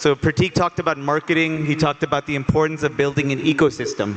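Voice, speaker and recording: With music in the background, a man with a fairly high pitch speaks in an American accent. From United States. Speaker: sports education executive. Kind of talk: panel discussion. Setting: stage with audience.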